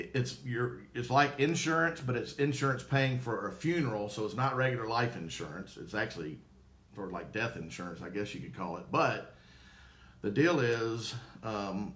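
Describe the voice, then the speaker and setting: In a room with audible echo, a man with a Southern US accent speaks with lively intonation, big swings in loudness, and long, frequent pauses. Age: 50s. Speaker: former probate court clerk, funeral home promoter. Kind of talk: live-stream Q&A.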